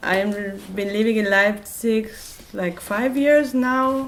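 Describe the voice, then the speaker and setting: Noticeable background noise and audible room echo around a woman speaking at a medium pitch. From Israel. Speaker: activist and musician. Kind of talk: open talk with audience. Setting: public talk event. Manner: halting, many fillers.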